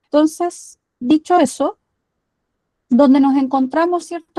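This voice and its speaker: A woman speaks in a Chilean accent at a fairly slow pace. The sound is dry and close, with no echo. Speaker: climate activist. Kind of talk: lecture.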